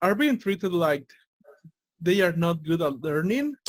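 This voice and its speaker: At a moderate pace, a man with a Spanish accent speaks in a high voice. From Latin America. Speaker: interview show host. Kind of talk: interview conversation.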